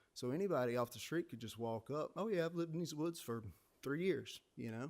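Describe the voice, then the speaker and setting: Speaking with a South Carolina accent, a man moves at a fairly quick pace. His pitch varies in an ordinary way. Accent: Southern US (South Carolina). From South Carolina, Aiken County. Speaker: public commenter. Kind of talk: public comment at meeting. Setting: city planning commission meeting.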